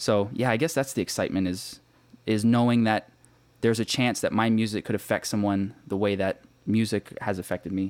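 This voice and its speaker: This man has a normal speaking voice with a fairly low pitch, talking at a fairly quick pace with fairly even intonation. The recording is very clean with a silent background, and the sound is dry and close with no echo. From Canada, Toronto area. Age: 20s. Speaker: actor and rapper. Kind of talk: casual interview.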